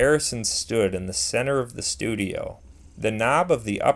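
The passage is read aloud in a natural voice.

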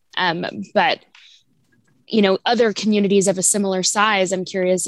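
A woman talks at a moderate pace and medium pitch in a normal speaking voice. Her intonation is fairly even. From Kansas City area, US Midwest. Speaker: library diversity coordinator. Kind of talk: community stakeholder meeting.

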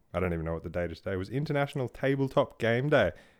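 With lively intonation, a man speaks in an Australian accent. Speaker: podcast host. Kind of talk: casual chat. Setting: studio.

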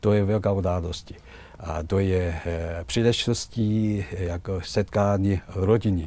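Here a man speaks with a Chinese accent at a fairly slow pace. His pitch is very deep and low, with fairly even intonation. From China. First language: Chinese (speaking Czech). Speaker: ambassador. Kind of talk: interview. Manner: halting.

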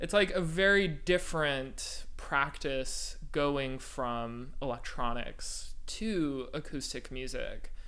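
The speech moves at a very slow pace. Audible room echo surrounds it. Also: man, hardly any pauses. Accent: American. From Northern California (East Bay). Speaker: composer. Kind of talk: interview. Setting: living room with high ceilings.

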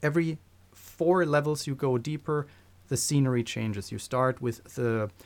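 Pitched at a medium level, a man talks at a moderate pace with ordinary pitch variation. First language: not English. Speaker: podcast co-host. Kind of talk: casual chat.

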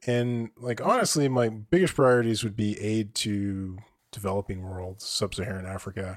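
This man's pitch is fairly low, his pitch variation ordinary, and his tempo moderate. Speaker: podcast co-host. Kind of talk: casual chat. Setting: remote recording with monitor headphones.

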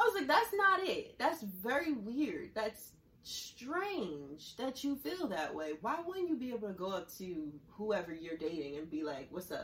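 A woman with a fairly high pitch speaks at a fairly slow pace, her pitch swinging very widely over noticeable background noise. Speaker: podcast host.

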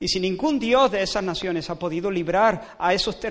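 Reading voice, natural

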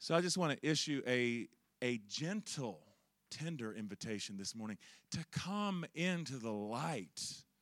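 Speaking at a fairly slow pace in a Southern US accent, a man at medium pitch makes very wide pitch swings on a very clean recording with a silent background. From Charlotte, North Carolina, US South. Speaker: preacher. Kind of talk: sermon. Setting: church with congregation.

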